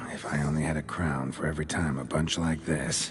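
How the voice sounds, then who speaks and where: Over clear background noise, a man does a put-on character voice with a very deep, low pitch at a fairly quick pace. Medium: machinima. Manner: terse, deadpan.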